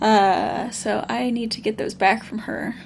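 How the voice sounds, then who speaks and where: Somewhat breathy, a woman with a Midwestern US accent speaks at a fairly high pitch. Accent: General American, Midwestern. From US Midwest. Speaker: let's play streamer. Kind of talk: casual gameplay commentary.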